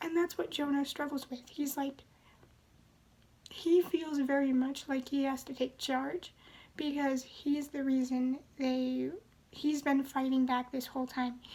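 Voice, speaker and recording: Soft-spoken and calm in tone, a woman speaks at a fairly slow pace in a high pitch with monotone, flat intonation. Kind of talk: book review talk to camera. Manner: calm, soft-spoken.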